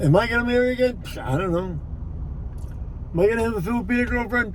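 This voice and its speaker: Audible room echo and noticeable background noise both surround a man talking. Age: 60s. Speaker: vlogger. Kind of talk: casual monologue vlog. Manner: halting, repetitive.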